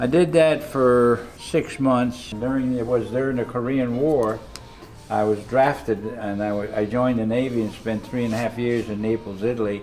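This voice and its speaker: Over music in the background, a man talks at a moderate pace with a medium pitch and fairly even intonation. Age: 80s+. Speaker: retired barber and hairdresser, Navy veteran. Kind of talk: interview answer.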